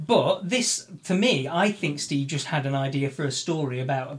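This man's voice is somewhat breathy and fairly high in pitch. His pitch moves in an ordinary way. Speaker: podcast co-host. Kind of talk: casual podcast chat about music. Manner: relaxed, chatty, bantering.

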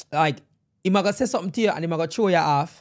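In a very clean recording with a silent background, a man with a high pitch speaks at a fairly quick pace with lively intonation. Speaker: podcast host. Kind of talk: casual chat.

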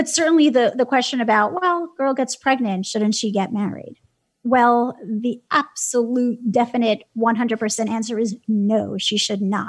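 A woman with an American accent has an unremarkable speaking voice, fairly high in pitch. She speaks at a fairly slow pace with ordinary pitch variation. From New York City, Brooklyn. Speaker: nonprofit founder and advocate. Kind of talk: interview.

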